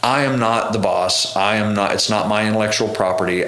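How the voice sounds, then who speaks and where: A man at a moderate pace and fairly low pitch, with fairly even intonation, noticeable background noise and audible room echo. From Oklahoma, Tishomingo. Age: 30s. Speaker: touring bass player. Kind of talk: casual interview chat.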